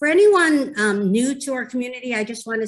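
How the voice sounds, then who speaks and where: A woman speaks with a New York accent. Her pitch varies in an ordinary way. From New York City. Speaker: moderator, mental health advocate. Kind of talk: moderating a community video conversation. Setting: video call, live on Facebook. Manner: hesitant, many fillers.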